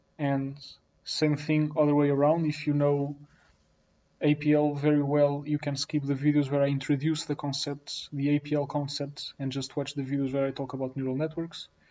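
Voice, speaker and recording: At a moderate pace, a man speaks with a fairly high pitch and a monotone, flat intonation. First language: not English. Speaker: programming teacher. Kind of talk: tutorial. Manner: unscripted, some self-corrections.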